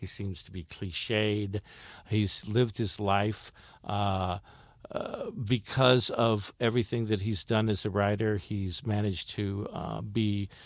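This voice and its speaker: A man talks at a fairly slow pace in a fairly low pitch with monotone, flat intonation. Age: 60s. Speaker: stage actor. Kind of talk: interview. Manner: halting, with many fillers.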